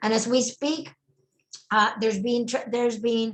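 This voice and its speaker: Speaking in a Spanish accent, a woman keeps a fairly high pitch and monotone, flat intonation. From Puerto Rico. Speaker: network marketing trainer. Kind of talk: casual chat. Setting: video call.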